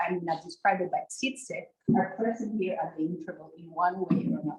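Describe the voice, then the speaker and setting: A woman's medium-pitched, somewhat breathy voice with lively intonation at a moderate pace. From outside the US Northeast, abroad. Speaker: agroecology researcher. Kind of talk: research presentation. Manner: halting, with restarts and fillers.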